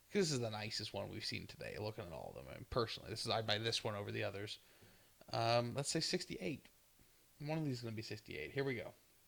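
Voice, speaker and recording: A man's medium-pitched voice with vocal fry, lively intonation and a very fast pace. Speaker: coin collector grading coins on video. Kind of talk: casual commentary video. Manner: hesitant with fillers.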